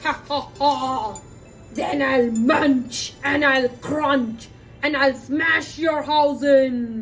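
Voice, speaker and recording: In a put-on character voice, a woman growls at a high pitch and a very slow pace. Clear background noise runs underneath. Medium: read story. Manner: growly, menacing.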